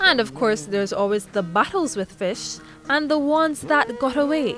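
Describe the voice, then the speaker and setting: Music plays in the background as a woman with a high pitch talks at a moderate pace. Her pitch swings very widely. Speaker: news reporter. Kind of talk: news report narration.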